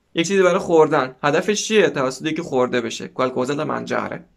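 The background stays quiet. His intonation is lively, and the man keeps a moderate pace. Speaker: language teacher. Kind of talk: tutorial. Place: home room. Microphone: lapel.

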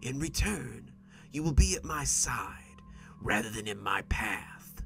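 A man's put-on character voice, fairly low, raspy, hissing and wheezy, at a fairly slow pace with clear music in the background. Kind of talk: horror narration. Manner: menacing, mocking, threatening.

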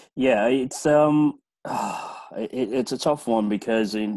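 A man with a dark, mellow tone and fairly even intonation speaks against a quiet background. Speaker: project management consultant; webinar presenter. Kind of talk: webinar discussion. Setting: video call. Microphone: video call.

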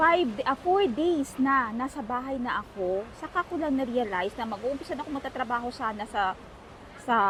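Her voice high-pitched, a woman speaks with ordinary pitch variation. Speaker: vlogger. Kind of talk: travel vlog. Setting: out and about, mall and taxi.

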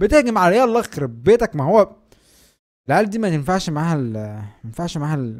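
A man's high-pitched voice at a fairly quick pace, with very wide pitch swings and big swings in loudness, on a very clean recording with a silent background. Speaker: gaming youtuber. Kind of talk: live gameplay commentary. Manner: animated; fast.

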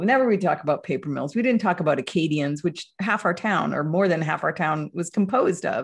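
Against a quiet background, a woman with an American accent speaks very fast, hardly pausing at all. Her fairly low, somewhat breathy voice has lively intonation. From US Northeast. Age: 50s. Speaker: writer and report editor; report editor, panelist. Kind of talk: panel discussion. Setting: video call. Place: home room. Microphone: video call.

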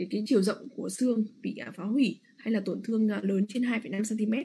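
At a fairly slow pace, a woman talks with a medium pitch and vocal fry. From Vietnam. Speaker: radiologist. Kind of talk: lecture. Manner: halting with frequent fillers.

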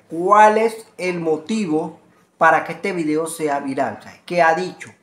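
The intonation is lively and the pace fairly slow. Audible room echo surrounds the voice. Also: man.

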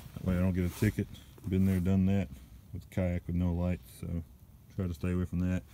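The voice has a dark, mellow tone and fairly even intonation, with a dry sound with no echo and light background noise. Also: man. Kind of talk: casual vlog chat. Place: open country. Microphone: phone near.

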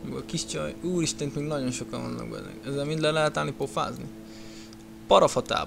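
Music plays in the background as a man talks fairly quickly. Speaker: gaming youtuber. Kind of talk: let's play commentary. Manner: casual, animated.

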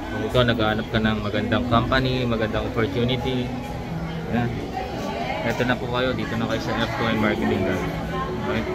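Loud music fills the background. Over it, a man speaks at a fairly quick pace. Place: cafe. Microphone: phone near.

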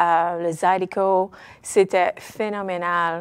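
Against a quiet background, a woman speaks at medium pitch with monotone, flat intonation. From Nova Scotia, Cape Breton, Petit-de-Grat (Acadian); Nova Scotia. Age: 50s. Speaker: Acadian web series creator. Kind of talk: interview. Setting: studio. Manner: hesitant, many fillers. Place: studio.

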